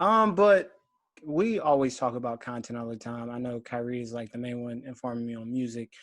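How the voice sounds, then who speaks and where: A man with an American accent in a plain, everyday voice, at a moderate pace with ordinary pitch variation, on a very clean recording with a silent background. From Philadelphia, US. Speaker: podcast host. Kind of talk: casual chat.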